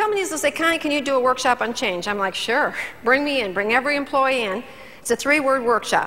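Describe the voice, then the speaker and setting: A woman talks at a very fast pace in a high-pitched, raised, projected voice. Her intonation is lively, and there is noticeable background noise. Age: 60s. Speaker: motivational speaker. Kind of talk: keynote speech. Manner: animated.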